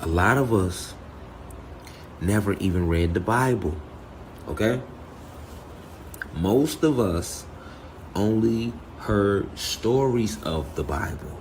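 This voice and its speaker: A man's fairly low voice with lively intonation, very slow pace, long and frequent pauses, and audible room echo. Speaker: spiritual teacher. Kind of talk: spiritual talk. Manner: soft-spoken; halting.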